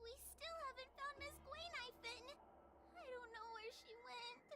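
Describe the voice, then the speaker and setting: Noticeable background noise sits behind a woman doing a put-on character voice. Her pitch is extremely high and her pace moderate. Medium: video game. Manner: hesitant, stammering.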